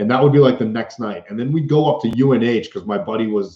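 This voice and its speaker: The speaker talks with a Boston accent. The tone is animated. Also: man. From US Northeast, Boston. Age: 30s. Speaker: van life vlogger and entertainer. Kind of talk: live stream Q&A.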